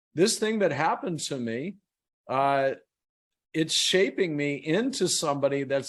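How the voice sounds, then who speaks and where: An unremarkable speaking voice with ordinary pitch variation. The pace is fairly slow. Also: man. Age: 60s. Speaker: author and motivational speaker. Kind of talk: podcast interview.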